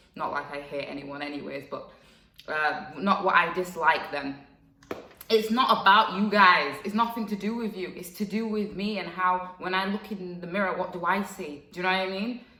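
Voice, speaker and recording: With audible room echo and noticeable background noise, a woman speaks at a moderate pace and medium pitch in an animated tone, her pitch varying in an ordinary way while her loudness swings widely. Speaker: vlogger. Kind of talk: casual vlog monologue.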